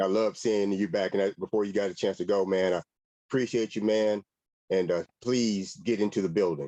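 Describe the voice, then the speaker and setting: In an American accent, a man with a fairly low pitch and a dark, mellow tone speaks at a fairly quick pace, his intonation fairly even and his loudness very even, in a dry, close sound with no echo. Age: 80s+. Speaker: alumnus. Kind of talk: casual chat.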